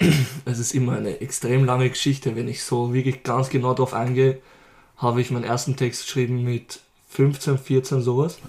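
Breathy to a degree, a man speaks at a moderate pace with medium pitch and flat, monotone intonation. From Lower Austria. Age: 20s. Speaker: rapper. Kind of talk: casual interview.

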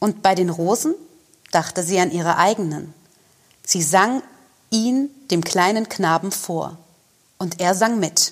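At a very slow pace, a woman of medium pitch and ordinary pitch variation speaks with long, frequent pauses. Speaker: actor reading fairy tale aloud. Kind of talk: scripted storytelling, fairy-tale reading.

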